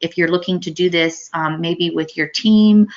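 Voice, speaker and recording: Fairly quick, flat, monotone delivery from a woman with a fairly low pitch. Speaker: webinar presenter. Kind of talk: software demo webinar. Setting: online webinar. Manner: fast.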